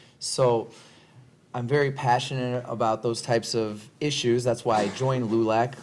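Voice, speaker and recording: Speaking at a moderate pace, a man with an American accent keeps his medium-pitched voice monotone and flat. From Iowa. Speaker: attorney. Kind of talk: panel discussion.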